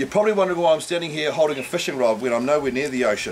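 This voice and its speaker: A man with a New Zealand accent, fairly high-pitched, with lively intonation amid noticeable background noise. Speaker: fishing charter operator. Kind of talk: fishing report. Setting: outdoors. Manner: casual.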